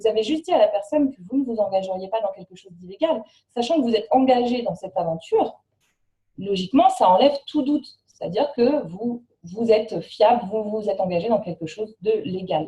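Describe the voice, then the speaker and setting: A woman speaks at a fairly quick pace with a fairly high pitch and lively intonation. Her voice is somewhat breathy, with big swings in loudness. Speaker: network marketing trainer. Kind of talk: training presentation. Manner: fast.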